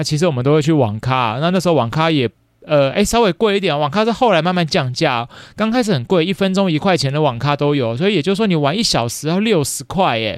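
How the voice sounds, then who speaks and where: Speaking very fast with a Taiwanese accent, a man uses a fairly high pitch and lively intonation. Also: very clean recording, silent background. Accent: Taiwanese Mandarin. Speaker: podcast host, elementary school teacher. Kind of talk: casual solo chat. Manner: many fillers, chatty.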